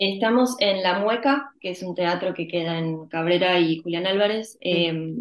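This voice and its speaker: A woman with a medium pitch and ordinary pitch variation talks in an ordinary speaking voice. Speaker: actress. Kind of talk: interview.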